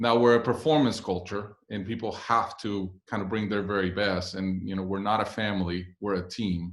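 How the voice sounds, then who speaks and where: A man with a Spanish accent talks at a moderate pace, his fairly low pitch following a fairly even intonation, on a very clean recording with a silent background. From Puerto Rico. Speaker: business executive. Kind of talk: guest talk to a class. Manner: hesitant with fillers.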